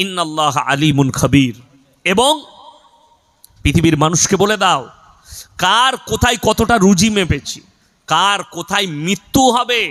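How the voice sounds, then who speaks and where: Pitched high, a man talks in an animated tone with lively intonation and very even loudness. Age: 30s. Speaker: Islamic preacher. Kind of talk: sermon.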